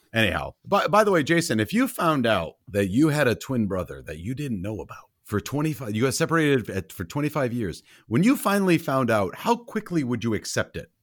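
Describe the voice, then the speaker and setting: In a very clean recording with a silent background, a man at medium pitch talks at a fairly quick pace with hardly any pauses, an animated tone and very wide pitch swings. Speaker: podcast co-host. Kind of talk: casual chat, movie review podcast. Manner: animated, joking.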